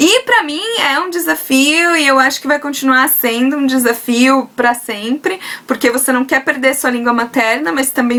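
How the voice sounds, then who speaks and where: Against noticeable background noise, a woman with a strong Brazilian accent talks fairly slowly at a high pitch. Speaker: video blogger, trained teacher. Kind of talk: casual vlog talk. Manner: halting, frequent hesitations.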